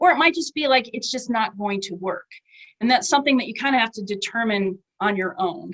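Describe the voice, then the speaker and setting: Here a woman speaks at a fairly quick pace. Her fairly high voice carries lively intonation. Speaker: author giving writing workshop. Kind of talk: online workshop talk. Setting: webinar. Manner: fast; casual, filler-heavy.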